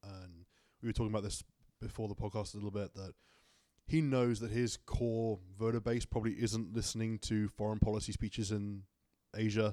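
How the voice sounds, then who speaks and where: With a fairly low pitch and a fairly quick pace, a man talks in a monotone, flat intonation. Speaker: panelist. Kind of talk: casual panel discussion.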